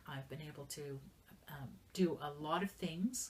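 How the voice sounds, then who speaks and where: A woman's voice is somewhat breathy. Her pitch varies in an ordinary way. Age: 60s. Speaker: business manager and entrepreneur. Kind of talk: interview. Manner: halting.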